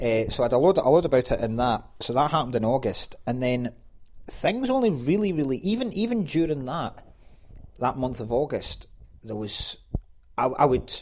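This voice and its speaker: With a Scottish accent, a man talks at a moderate pace. His pitch is fairly high and his intonation lively. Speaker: stand-up comedian. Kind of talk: casual chat. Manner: animated.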